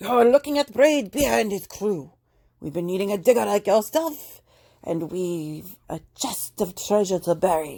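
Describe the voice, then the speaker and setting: A woman speaks loudly at a moderate pace in a gruff, put-on character voice, her pitch sitting in the middle range. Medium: read story. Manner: loud, gruff pirate talk.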